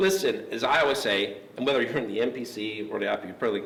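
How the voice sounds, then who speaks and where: Over noticeable background noise and audible room echo, a man with a Pittsburgh accent speaks at a medium pitch with very wide pitch swings. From Pittsburgh, US. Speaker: interviewer. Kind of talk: interview. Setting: gym.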